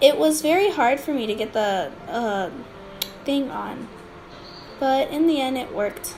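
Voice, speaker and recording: A woman's high voice with very wide pitch swings and long, frequent pauses, amid noticeable background noise and audible room echo. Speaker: digital art youtuber. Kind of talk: art tutorial voiceover. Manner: halting, many fillers.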